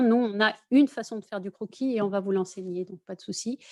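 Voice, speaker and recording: Her pitch is medium and her intonation fairly even. The woman talks at a fairly quick pace. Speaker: architecture school representative. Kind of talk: online info session presentation. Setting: video conference. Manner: many hesitations (euh).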